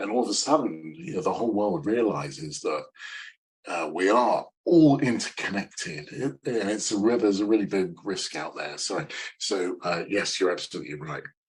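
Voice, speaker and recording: The voice moves in very wide pitch swings. Its pace is moderate. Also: man, fairly low pitch for a man. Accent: British. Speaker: sales consultant. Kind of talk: interview. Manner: halting, many fillers; upbeat.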